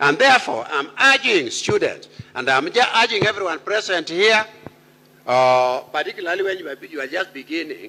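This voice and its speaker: Raised and projected, a man's voice sits high in pitch and moves through very wide pitch swings. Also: moderate pace. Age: 80s+. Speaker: university speaker, senior academic. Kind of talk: commencement speech. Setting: graduation ceremony with audience. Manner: formal.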